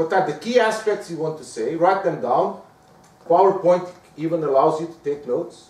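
A man's high voice at a moderate pace, ordinary pitch variation, big swings in loudness, and noticeable background noise. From Portugal. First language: Portuguese. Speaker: professor. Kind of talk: lecture. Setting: stage with audience.

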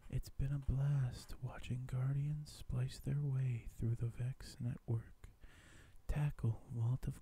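A man whispering, somewhat breathy. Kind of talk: ASMR reading of game news article. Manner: whispered.

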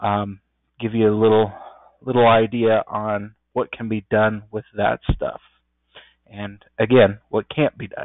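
A man's plain, everyday voice at medium pitch, at a fairly slow pace. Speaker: software programmer presenting a training session. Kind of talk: tutorial. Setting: video call.

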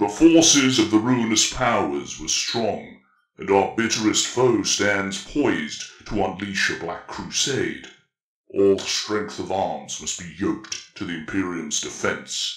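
Putting on a rumbling character voice, a man talks at a fairly slow pace and fairly low pitch, his loudness swinging widely, with slight echo. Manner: blunt, atonal.

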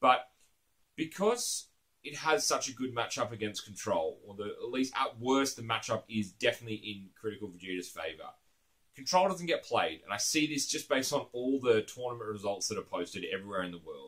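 Against a quiet background, a man speaks with an Australian accent. His pace is fairly quick, and his loudness swings widely. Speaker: card game YouTuber. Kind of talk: casual monologue to camera. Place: home room.

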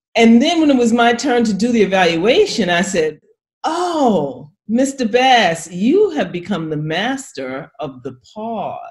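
An American-accented woman's voice, fairly high in pitch, with very wide pitch swings and vocal fry, over a quiet background. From New York. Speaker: public speaking coach. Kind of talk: instructional casual chat. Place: home room. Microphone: webcam.

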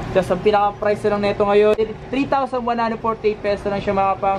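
Noticeable background noise sits behind the recording. A man speaks with fairly even intonation. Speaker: vlogger. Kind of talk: casual product review vlog. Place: shop. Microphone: phone near.

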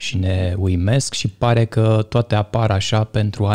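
The voice has a dark, mellow tone, is somewhat breathy and keeps a fairly even intonation over a quiet background. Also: man. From Romania, Bărăgan region; Romania. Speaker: podcast host. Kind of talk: casual interview. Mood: calm, thoughtful. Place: studio. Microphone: studio mic.

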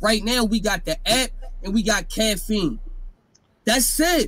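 This man speaks with a high pitch and ordinary pitch variation. His pace is moderate. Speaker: remote guest. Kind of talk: interview answer. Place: home room. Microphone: studio mic.

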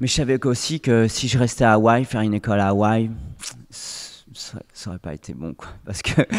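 Against a quiet background, a man talks at a moderate pace with ordinary pitch variation and big swings in loudness. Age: 40s. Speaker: former pro windsurfer, oriental medicine practitioner; podcast guest. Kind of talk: interview; interview answer. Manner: halting. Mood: calm, reflective storytelling. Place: studio. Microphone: studio mic.

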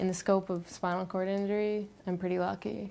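Moderate pace and a monotone, flat intonation. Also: woman. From Canada. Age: 20s. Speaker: wheelchair athlete; interviewee. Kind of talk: interview testimony. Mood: earnest, determined.

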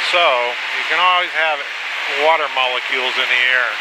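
A man speaks fairly quickly with ordinary pitch variation over loud background noise. The sound is dry, with no echo. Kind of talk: flight commentary. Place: plane. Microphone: headset.

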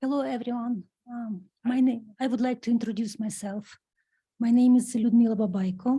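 This woman's voice is fairly high in pitch, with a dark, mellow tone and a somewhat breathy quality. She talks at a moderate pace with fairly even intonation. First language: not English. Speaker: resident speaking at public comment. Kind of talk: public comment at council meeting. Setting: town council meeting at lectern. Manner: halting.

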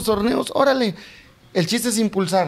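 Fairly quick speech comes from a man whose pitch varies in an ordinary way. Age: 40s. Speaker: political candidate; candidate. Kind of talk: interview. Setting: live stream studio. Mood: earnest, persuasive campaign talk. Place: home room. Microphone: handheld.

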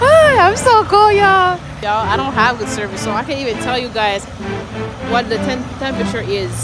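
A woman speaks with clear music in the background. The sound is dry, with no echo. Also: fairly quick pace. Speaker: truck driver vlogger. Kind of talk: casual vlog chat. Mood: upbeat, relieved. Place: street. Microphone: phone near.

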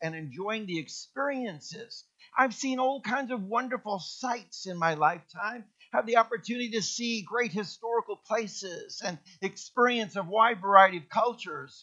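A man's raised, projected voice has a bright, sharp tone and moves at a moderate pace. His pitch varies in an ordinary way, while his loudness swings widely. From Kenya. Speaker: pastor. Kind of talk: sermon.

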